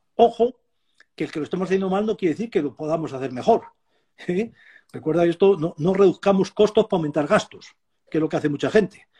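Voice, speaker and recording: A man with a high, dark, mellow voice talks at a very fast pace yet leaves long, frequent pauses, in a dry, close sound with no echo. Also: ordinary pitch variation. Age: 70s. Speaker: animal nutrition professor and consultant. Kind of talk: interview.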